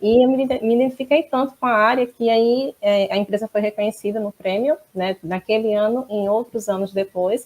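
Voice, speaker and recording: With a northeastern Brazilian accent, a woman speaks at a fairly high pitch and a moderate pace, with ordinary pitch variation, hardly any pauses and a dry, close sound with no echo. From Northeast Brazil, Maceió, Alagoas. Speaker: quality management consultant and auditor. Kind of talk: interview.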